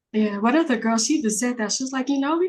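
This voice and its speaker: A somewhat breathy woman with an American accent, set against a quiet background. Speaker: podcast guest. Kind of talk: casual chat.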